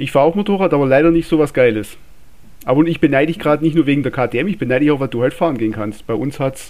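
Speaking very fast with a Swabian accent, a man uses a fairly high pitch and ordinary pitch variation. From Swabia, southwest Germany. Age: 30s. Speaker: listener and motorsport fan, technician. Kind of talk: casual chat.

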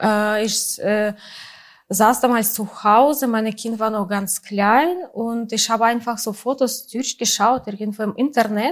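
This woman has a Russian accent and a fairly high pitch. She speaks at a very slow pace with ordinary pitch variation. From Russia, St. Petersburg. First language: Russian (speaking German). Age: 40s. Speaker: photographer. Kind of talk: interview. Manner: halting, many fillers.

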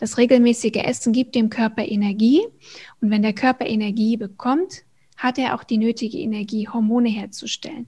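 Speaking at a fairly quick pace, a woman with a dark, mellow tone and a fairly high pitch keeps her intonation fairly even and sounds somewhat breathy, recorded very cleanly against a silent background. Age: 40s. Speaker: hormone coach and personal trainer. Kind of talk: interview.

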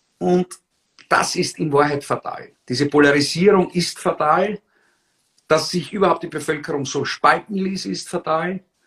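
This man speaks at a high pitch and a fairly slow pace with fairly even intonation. The sound is dry and close with no echo. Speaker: former politician, political blogger and rhetoric trainer. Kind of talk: interview. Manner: articulate.

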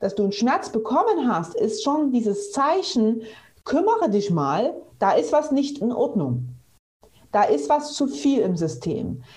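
Her fairly high voice swings very widely in pitch while its loudness stays very even, and this woman talks at a fairly slow pace with vocal fry and audible room echo. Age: 30s. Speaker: physiotherapist. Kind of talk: interview.

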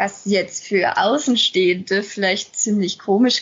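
A woman speaks at a very slow pace, her intonation fairly even. Her voice is somewhat breathy. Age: 20s. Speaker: lupus patient and self-help group volunteer. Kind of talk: casual podcast conversation.

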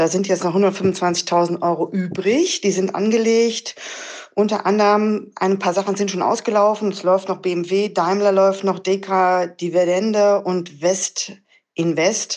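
Very slow speech from a woman, monotone and flat in intonation. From Krefeld, Lower Rhine, western Germany. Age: 50s. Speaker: listener calling in with a question. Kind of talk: recorded voice message. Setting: messaging-app voice message.

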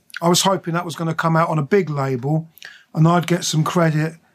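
This man has a fairly high voice and a southern English accent. He talks at a fairly quick pace with fairly even intonation. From southern England, Buckinghamshire. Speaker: record label founder and producer. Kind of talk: interview. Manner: hesitant, many fillers.

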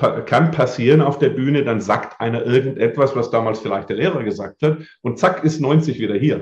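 Somewhat breathy and medium in pitch, a man talks with lively intonation. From southern Germany, Lake Constance area. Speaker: memory and mental coach, speaker. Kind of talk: interview. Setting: video podcast.

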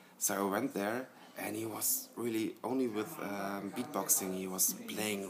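Speaking with a German accent, a man keeps a fairly slow pace, fairly even intonation and a fairly low pitch. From Germany, Hesse. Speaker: electronic musician. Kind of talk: interview. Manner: halting.

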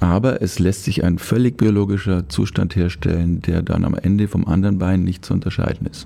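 A man with a very deep, low pitch and fairly even intonation, hardly any pauses, over noticeable background noise. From Upper Bavaria. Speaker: orthopedic surgeon. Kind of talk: casual interview. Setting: studio.

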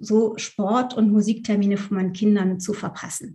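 A woman speaks at a moderate pace in a somewhat breathy voice with a dark, mellow tone and fairly even intonation. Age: 50s. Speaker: Enneagram coach. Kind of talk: interview. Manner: halting.

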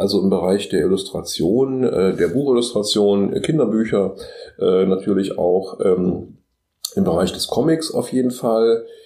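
Speaking at a very slow pace, a man keeps a medium pitch with ordinary variation. His loudness stays very even. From Magdeburg, eastern Germany. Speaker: design professor and freelance illustrator. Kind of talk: casual interview.

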